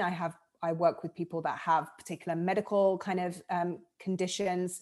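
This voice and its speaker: A woman in a southern English accent speaks at a moderate pace with a fairly low pitch. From southern England. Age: 30s. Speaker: life coach. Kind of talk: casual interview. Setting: video call.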